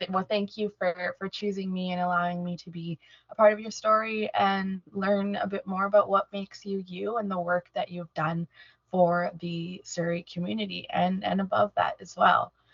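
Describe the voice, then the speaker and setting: A woman speaks in a flat monotone, somewhat breathy. Her loudness swings widely. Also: medium pitch for a woman, moderate pace. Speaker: oral history interviewer. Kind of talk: interview questions.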